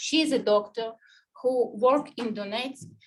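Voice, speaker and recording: With a Ukrainian accent, a woman speaks in a fairly high pitch and fairly even intonation. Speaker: human rights activist. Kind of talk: panel presentation. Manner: halting.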